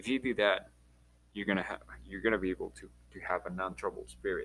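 Here a man speaks with a Spanish accent. His pace is moderate. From Mexico, Chihuahua. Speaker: podcast host. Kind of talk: casual solo monologue. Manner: halting, repeats words.

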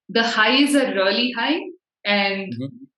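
A woman's voice with audible room echo. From India, Bangalore (North). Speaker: podcast host. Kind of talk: casual chat.

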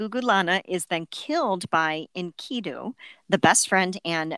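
On a very clean recording with a silent background, a woman speaks at a fairly slow pace in a bright, sharp, animated tone, with a dry, close sound with no echo. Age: 40s. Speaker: podcast co-host on mythology. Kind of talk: casual chat with read-aloud research. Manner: animated, frequent laughter.

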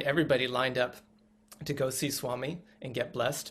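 A man speaks with vocal fry in a monotone, flat intonation. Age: 40s. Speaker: former tech worker, spiritual community member. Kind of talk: interview. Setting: video call.

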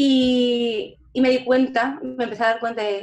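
The woman's voice sits at a high pitch. Her intonation is fairly even. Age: 20s. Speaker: lottery shop owner and psychology student. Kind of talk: interview. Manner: halting.

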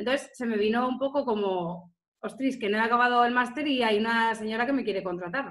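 A woman with an ordinary speaking voice talks at a fairly quick pace, her pitch fairly high and its variation ordinary. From Spain, Salamanca. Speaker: tourism marketing specialist. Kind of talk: interview.

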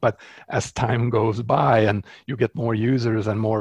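A somewhat breathy, medium-pitched male voice in a Swedish accent, with a dry, close sound and no echo. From Sweden. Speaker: software developer and open source founder. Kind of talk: interview.

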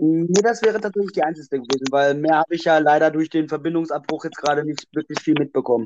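A man talks at a very fast pace with hardly any pauses, his fairly high voice showing ordinary pitch variation. The recording is dry and close, with no echo. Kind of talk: personal testimony. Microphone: connection dropouts.

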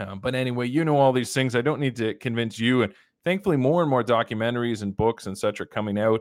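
At a very fast pace, a man with a Canadian accent talks at medium pitch with ordinary pitch variation. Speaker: livestream host and commentator. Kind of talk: live commentary. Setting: home shed studio.

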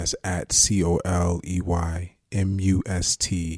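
At a very slow pace, a man with a very deep, low pitch speaks in a somewhat breathy, monotone, flat way, in a dry, close sound with no echo and a very clean recording with a silent background. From Jersey City, New Jersey. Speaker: actor. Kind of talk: casual interview.

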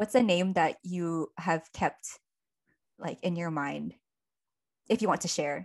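A woman's fairly low voice at a very slow pace, ordinary pitch variation, long, frequent pauses, and a quiet background. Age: 20s. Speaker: podcast co-host. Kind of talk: casual chat.

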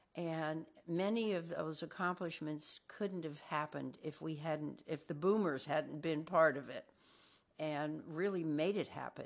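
With a very deep, low pitch and fairly even intonation, a woman talks at a fairly slow pace against a quiet background. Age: 70s. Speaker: health podcast host. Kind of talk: interview.

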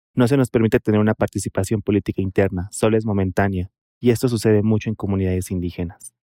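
Very fast speech in a dark, mellow tone, with fairly even intonation and a dry, close sound free of echo. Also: man, fairly low pitch for a man. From Mexico, Oaxaca. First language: Mixtec (speaking Spanish). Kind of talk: interview testimony.

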